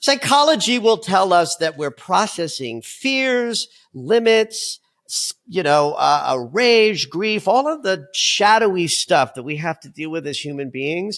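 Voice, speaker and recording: Talking at a fairly slow pace, a man uses a high pitch with very wide pitch swings and big swings in loudness. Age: 60s. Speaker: dream expert and psychologist. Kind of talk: interview conversation.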